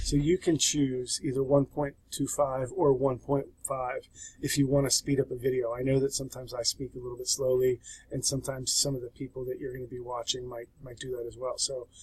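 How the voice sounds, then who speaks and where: In a somewhat breathy, flat monotone, a man speaks with big swings in loudness. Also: medium pitch for a man, fairly quick pace. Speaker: sociology instructor. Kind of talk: tutorial. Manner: casual.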